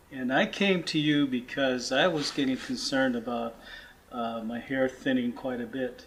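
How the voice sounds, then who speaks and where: Noticeable background noise sits under a medium-pitched man speaking at a moderate pace with ordinary pitch variation. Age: 60s. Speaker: client giving testimonial. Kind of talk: testimony.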